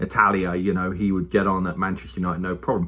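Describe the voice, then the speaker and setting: A very fast-talking man with an English accent, fairly low pitch and a bright, sharp tone, in a very clean recording with a silent background. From England. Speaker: youth football coach and football commentator. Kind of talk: casual monologue. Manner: conversational, with many fillers.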